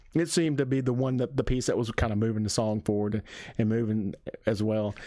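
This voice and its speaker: A man with an Alabama accent and medium pitch at a fairly quick pace, on a very clean recording with a silent background. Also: very even loudness. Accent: Southern US (Alabama). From Alabama, US South. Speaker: music reviewer. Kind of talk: music reaction review. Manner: halting, repeats words.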